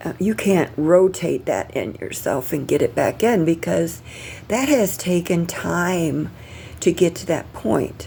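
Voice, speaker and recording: Noticeable background noise runs through the clip. The woman talks at a fairly slow pace. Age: 60s. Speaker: vlogger documenting pre-surgery. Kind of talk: casual video diary. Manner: halting, many fillers.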